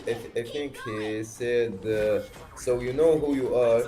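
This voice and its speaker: A man with a Tunisian accent at a very slow pace and medium pitch, amid audible room echo and noticeable background noise. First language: Arabic. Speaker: stranger on video chat. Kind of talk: casual chat. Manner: halting, many hesitations.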